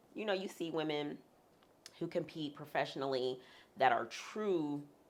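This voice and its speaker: Lively intonation marks this woman's very deep, low voice. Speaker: comedian and bodybuilding competitor. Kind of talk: interview.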